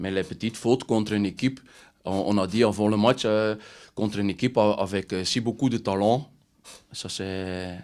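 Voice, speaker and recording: A man with a Dutch accent speaks at a moderate pace in a fairly low pitch with fairly even intonation and long, frequent pauses on a very clean recording with a silent background. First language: Dutch (speaking French). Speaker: football coach. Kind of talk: press conference. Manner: halting.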